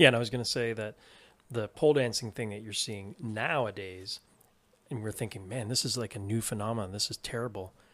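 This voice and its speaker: A man with a Canadian accent and an unremarkable speaking voice, fairly low in pitch, fairly even in intonation, fairly quick in pace, with big swings in loudness and a very clean recording against a silent background. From Canada, Toronto. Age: 40s. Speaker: podcast producer and co-host. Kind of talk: casual chat.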